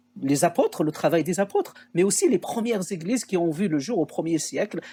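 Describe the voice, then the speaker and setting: A man with a high pitch talks fairly quickly, varying his pitch in an ordinary way. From Algeria, Kabylie (Béjaïa region). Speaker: theologian and researcher. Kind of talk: podcast interview testimony. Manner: hesitant, many filler sounds.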